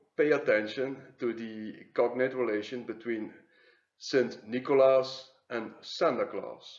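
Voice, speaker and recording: Someone with a Flemish accent speaks at a fairly slow pace. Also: man. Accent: Flemish Dutch accent in English. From Flanders, Belgium. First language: Dutch. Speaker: YouTube commentator on symbols and mythology. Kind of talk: video commentary. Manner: hesitant, many filler sounds.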